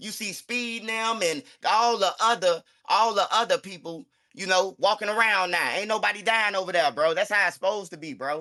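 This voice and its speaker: Raised and projected, a man's high-pitched voice has a bright, sharp tone, ordinary pitch variation and a fairly quick pace. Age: 40s. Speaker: commentator on street culture. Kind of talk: interview.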